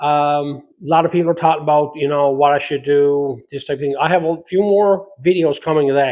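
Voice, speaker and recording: With a Newfoundland accent, a man talks at a fairly quick pace and a fairly high pitch. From Newfoundland, Canada. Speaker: metal fabrication YouTuber. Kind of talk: casual Q&A talk to camera. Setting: home garage workshop.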